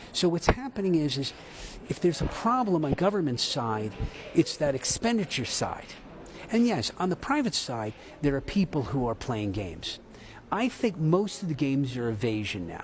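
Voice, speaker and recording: A man with an American accent speaks at a fairly high pitch for a man. His pace is moderate, and his pitch swings very widely. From United States. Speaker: tax institute chief executive. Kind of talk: news interview. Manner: animated.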